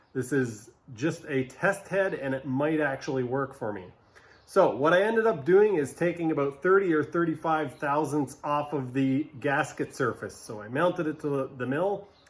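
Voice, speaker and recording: Noticeable background noise surrounds a man whose fairly high voice moves at a moderate pace with ordinary pitch variation. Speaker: jet ski mechanic video host. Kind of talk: workshop tutorial. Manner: casual, hesitant.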